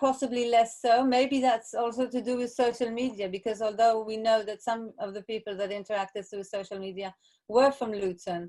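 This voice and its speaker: Delivered at a fairly quick pace with hardly any pauses, the voice has a dark, mellow tone and fairly even intonation. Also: woman, fairly high pitch for a woman. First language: Hebrew. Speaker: artist. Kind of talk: online artist talk Q&A.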